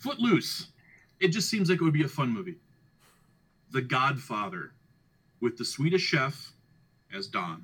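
A man's fairly high voice with vocal fry, very wide pitch swings, a moderate pace and long, frequent pauses. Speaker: podcast host. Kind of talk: casual chat.

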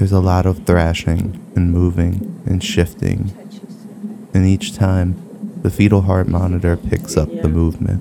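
A man's very deep, low pitch in monotone, flat intonation, fairly slow pace and very even loudness, against noticeable background noise. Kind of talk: scripted personal narration of a childbirth story, podcast storytelling. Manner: measured, vivid storyteller with wry dry humor.

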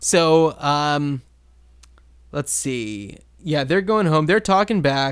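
A man with a fairly high pitch speaks at a very slow pace, leaving long, frequent pauses. His intonation is lively, and the recording is very clean with a silent background. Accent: American. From New Jersey. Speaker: podcast co-host. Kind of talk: casual chat.

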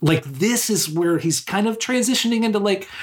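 This man's somewhat breathy voice moves at a moderate pace, its pitch varying in an ordinary way. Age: 40s. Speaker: podcast co-host. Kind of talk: casual chat.

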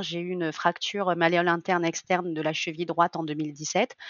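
Her voice sits at a medium pitch. This woman keeps to a moderate pace. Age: 30s. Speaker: coaching client, amateur lifter. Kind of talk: testimony. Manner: hesitant, many fillers.

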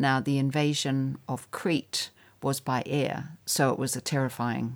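A woman with a New Zealand accent talks in a very deep, low pitch with fairly even intonation. The recording is very clean, the background silent. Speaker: writer. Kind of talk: interview.

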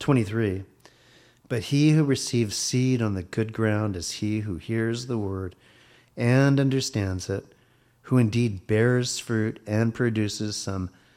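On a very clean recording with a silent background, a man speaks in a dark, mellow tone. His intonation is fairly even and his pace fairly slow. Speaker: Bible teacher. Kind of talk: sermon. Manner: soothing.

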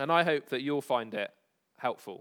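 A man talks in a fairly high pitch. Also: dry, close sound with no echo, very clean recording, silent background. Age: 30s. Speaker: pastor. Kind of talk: sermon. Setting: church.

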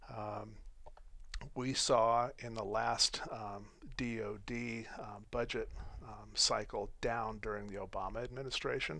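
With an American accent, a man speaks at a fairly slow pace in a medium-pitched, bright, sharp voice with vocal fry, monotone, flat intonation and big swings in loudness, and the room echo is audible. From Colorado and Wyoming. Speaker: company president. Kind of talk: radio interview. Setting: radio studio.

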